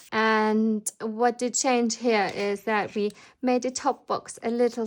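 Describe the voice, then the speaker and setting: At a very slow pace, the speaker talks with a non-native accent and fairly even intonation. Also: woman. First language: not English. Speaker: planner designer and shop owner. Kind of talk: product flip-through tutorial. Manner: casual with frequent fillers.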